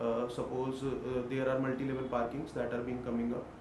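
A man talking at a fairly quick pace, with noticeable background noise. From India, Delhi. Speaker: civil service candidate; candidate. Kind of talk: mock job interview. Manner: hesitant, with frequent fillers. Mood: formal, polite, slightly hesitant. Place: meeting room.

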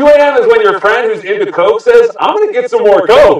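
Amid audible room echo, a man talks at a fairly quick pace. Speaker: late-night talk show host. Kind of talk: late-night comedy monologue. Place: studio.

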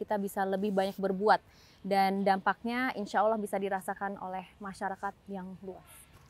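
Recorded dry with no echo, a woman speaks at a moderate pace with a medium pitch. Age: 20s. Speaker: member of parliament; interviewee. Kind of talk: TV talk show interview. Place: stadium. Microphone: lapel.

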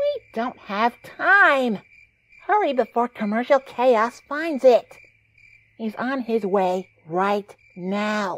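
Very slow delivery in a put-on character voice. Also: female-sounding voice, fairly high pitch for a woman. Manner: wisecracking, sarcastic, snappy.

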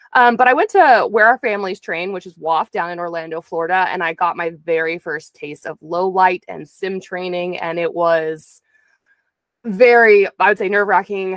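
The voice moves at a moderate pace with ordinary pitch variation and big swings in loudness. The sound is dry with no echo, over a quiet background. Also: woman. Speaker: interview guest. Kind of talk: interview answer. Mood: earnest, reflective. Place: home room. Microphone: studio mic.

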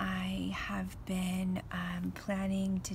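A soft-spoken woman in a relaxed, calm tone, with light background noise. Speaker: artist and designer. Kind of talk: craft tutorial, casual talk to camera. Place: garden. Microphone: phone near.

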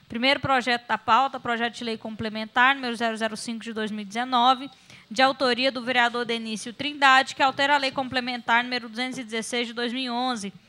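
With a bright, sharp tone and high pitch, a woman speaks in a monotone, flat manner at a moderate pace. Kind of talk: formal meeting chairing. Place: meeting room. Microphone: podium.

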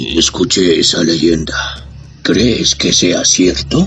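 With clear music in the background, a man uses a put-on character voice, very deep and raspy, at a very slow pace with ordinary pitch variation. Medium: audio drama.

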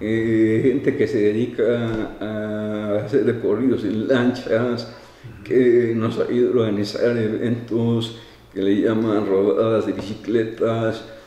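There is audible room echo around a man's voice. He speaks very slowly in a flat monotone. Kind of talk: interview answer. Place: office. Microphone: handheld.

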